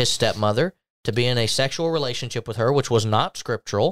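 Captured in a very clean recording with a silent background and a dry, close sound with no echo, a man with a plain, everyday voice speaks at a fairly quick pace with ordinary pitch variation. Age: 20s. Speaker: podcast host, church minister. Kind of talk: casual religious discussion.

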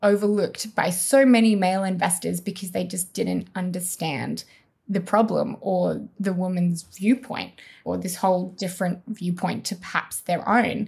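With an Australian accent, a woman speaks at a moderate pace in a medium pitch, somewhat breathy, with fairly even intonation. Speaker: health tech community founder, former medic. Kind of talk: interview.

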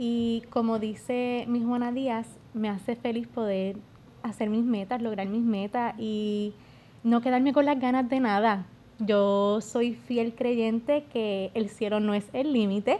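Speaking very slowly, a woman uses a fairly high pitch, a dark, mellow tone and fairly even intonation. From Puerto Rico, Yauco. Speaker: beauty pageant contestant. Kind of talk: casual interview.

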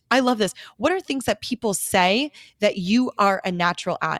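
Recorded with a dry, close sound with no echo and a very clean, silent background, a woman with an American accent speaks at a fairly high pitch in an animated tone with lively intonation. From US Midwest, Greendale. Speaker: dental hygienist and speaker. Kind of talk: casual interview chat.

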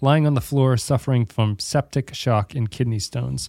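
Heard in a dry, close sound with no echo, a man with an ordinary speaking voice talks at a medium pitch and a moderate pace, his intonation fairly even. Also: very clean recording, silent background. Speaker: podcast host. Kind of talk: casual podcast chat. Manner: joking, laughs often.

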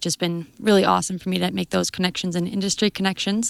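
In a very clean recording with a silent background, a woman with an Albertan accent talks at a very fast pace in a fairly low pitch. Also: dry, close sound with no echo. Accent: Canadian (Alberta). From southern Alberta, Canada. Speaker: agriculture student. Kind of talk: interview. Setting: conference.

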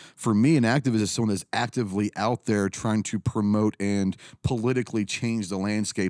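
A man with a Texan accent and fairly low pitch, hardly any pauses, in a very clean recording with a silent background and a dry, close sound with no echo. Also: very even loudness. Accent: Texan American. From Texas, Dallas area. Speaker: firearms business owner and YouTuber, Marine veteran. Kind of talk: casual interview chat.

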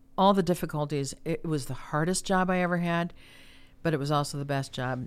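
Speaking at a moderate pace in an unremarkable speaking voice, a woman keeps a fairly low pitch and fairly even intonation on a very clean recording with a silent background. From US Midwest, Chicago area. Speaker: former mayor and chamber of commerce president. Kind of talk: interview.

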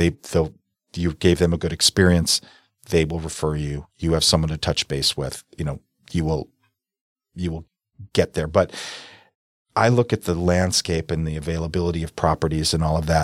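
At a moderate pace, a man with a very deep, low pitch talks with fairly even intonation and long, frequent pauses. The sound is dry and close with no echo, on a very clean recording with a silent background. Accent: American. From US Midwest, South Milwaukee, Wisconsin. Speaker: real estate broker. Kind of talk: casual interview.

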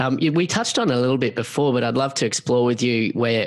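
A man's medium-pitched voice with an Australian accent, moderate pace and ordinary pitch variation. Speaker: podcast host. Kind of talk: interview.

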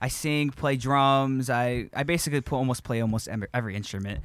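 On a very clean recording with a silent background, a man with an ordinary speaking voice talks at medium pitch and a fairly quick pace, with ordinary pitch variation. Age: 20s. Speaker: podcast co-host, worship leader. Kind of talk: casual chat.

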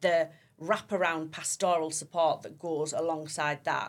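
Speaking in a Teesside accent at a moderate pace, a woman has a very deep, low voice, captured on a very clean recording with a silent background. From Teesside, northern England (Stockton). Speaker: youth worker. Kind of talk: interview. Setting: studio.

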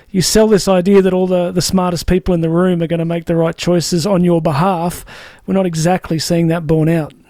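A man speaks with an Australian accent at a high pitch. His tone is dark and mellow, and the sound is dry and close with no echo. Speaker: podcast host. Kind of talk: interview. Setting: studio.

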